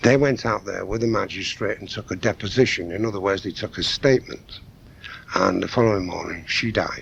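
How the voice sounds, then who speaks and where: A man's fairly low voice at a moderate pace, over noticeable background noise. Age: 60s. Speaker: crime historian. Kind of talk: radio interview. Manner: animated.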